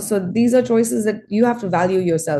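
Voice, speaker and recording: A woman with a medium pitch and lively intonation speaks at a moderate pace, her tone dark and mellow and somewhat breathy. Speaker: astrologer. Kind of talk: live-streamed astrology forecast.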